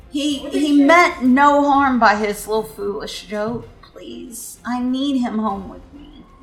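In a put-on character voice, a female-sounding speaker uses a high, shaky pitch at a fairly slow pace with hardly any pauses and audible echo. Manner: pleading.

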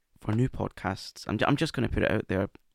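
Vocal fry at a fairly quick pace, with a dry, close sound and no echo. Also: man. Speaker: podcast host and wigmaker. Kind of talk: casual conversation, personal recovery story.

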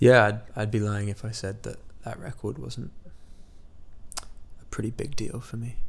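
Fairly low in pitch with vocal fry and an American accent, a man talks at a moderate pace with fairly even intonation, long, frequent pauses, and big swings in loudness. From US Midwest (Iowa, small college town), then raised mostly in England. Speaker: musician. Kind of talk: interview. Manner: halting, with frequent repetitions.

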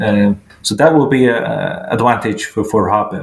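A man speaks with a Faroese accent over noticeable background noise. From Faroe Islands. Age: 40s. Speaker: sports journalist. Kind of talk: interview. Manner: halting.

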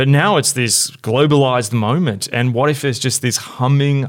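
A man with a Melbourne accent speaks at a moderate pace. His pitch is medium and his intonation fairly even. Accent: Australian, Melbourne, fairly flat. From Melbourne, Australia. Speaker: podcast host, church leader. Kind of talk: casual conversational discussion. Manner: hesitant, many fillers.

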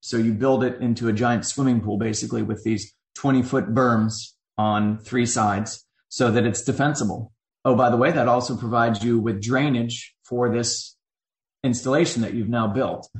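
Somewhat breathy, a man speaks at a moderate pace and medium pitch with fairly even intonation. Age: 40s. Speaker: army veteran and advocate. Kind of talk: interview.

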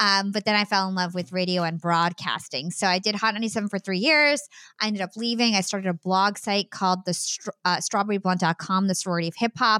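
Very fast, bright and sharp speech with an American accent, ordinary pitch variation and hardly any pauses, in a dry, close sound with no echo on a very clean recording with a silent background. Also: woman, medium pitch for a woman. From US, New Jersey. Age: 30s. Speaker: podcast host and media entrepreneur. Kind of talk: interview conversation.

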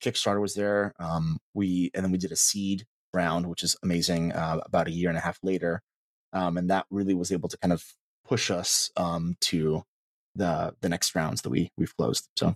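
In an American accent, a man with a very deep, low voice speaks at a moderate pace in a flat monotone, the sound dry and close with no echo on a very clean recording with a silent background. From US South, Mississippi (Meridian). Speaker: startup co-founder. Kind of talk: casual interview chat. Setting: office.

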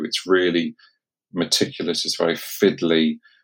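On a very clean recording with a silent background, a man speaks with an English accent. His pitch is very deep and low, his intonation fairly even. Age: 50s. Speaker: consultant urologist. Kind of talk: casual chat.

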